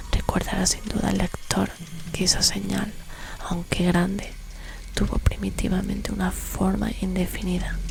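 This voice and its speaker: A woman's fairly slow whisper comes through noticeable background noise. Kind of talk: horror story reading. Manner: whispered.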